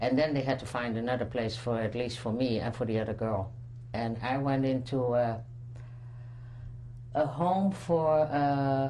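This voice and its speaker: A woman with a Dutch accent speaks at a fairly slow pace in a very deep, low voice with ordinary pitch variation. Long, frequent pauses break her speech, and room echo is audible. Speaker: Holocaust survivor. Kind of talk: testimony. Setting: recorded interview. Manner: halting.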